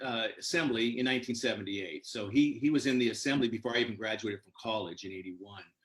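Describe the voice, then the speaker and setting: A man speaks at a fairly quick pace. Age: 60s. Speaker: congressional candidate. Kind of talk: interview. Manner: hesitant, many fillers.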